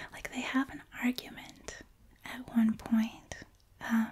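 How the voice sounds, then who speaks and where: The speaker whispers at a very slow pace. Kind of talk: soft-spoken ASMR movie review ramble. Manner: soft-spoken.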